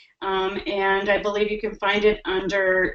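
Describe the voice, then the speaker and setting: Speaking at a fairly slow pace, a woman has a medium pitch. Hers is a plain, everyday voice. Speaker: public health executive presenting in a webinar. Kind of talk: webinar presentation. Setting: online webinar.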